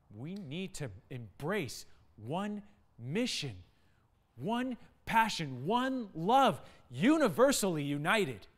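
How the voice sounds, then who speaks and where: A man speaking at a very slow pace, with very wide pitch swings and long, frequent pauses. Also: big swings in loudness. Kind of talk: dramatic spoken-word poetry. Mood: urgent, earnest. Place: studio.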